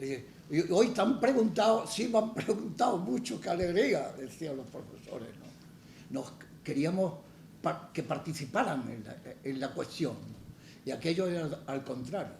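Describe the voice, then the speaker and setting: A man with a high voice speaks at a fairly slow pace, with very wide pitch swings and big swings in loudness. Audible room echo surrounds him. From Andalusia, Málaga. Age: 80s+. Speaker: poet. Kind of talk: public conversation. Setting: stage with audience. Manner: halting, frequent repetitions.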